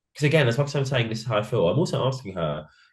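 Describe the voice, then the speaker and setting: Somewhat breathy and with ordinary pitch variation, a man with a British accent talks at a very fast pace. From England. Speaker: drag queen, reality show contestant. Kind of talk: interview. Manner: mumbling.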